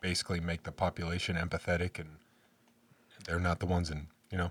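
In a very clean recording with a silent background, a man speaks with a very deep, low pitch and a somewhat breathy voice. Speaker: podcast host. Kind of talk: casual chat. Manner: animated, joking.

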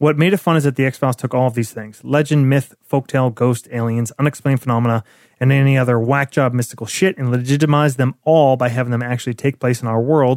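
A man speaks at a very fast pace with a medium pitch and hardly any pauses. The recording is very clean with a silent background. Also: fairly even intonation, dry, close sound with no echo. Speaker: podcast host. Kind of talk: casual comedic banter, commentary. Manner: irreverent, profane, laughs often.

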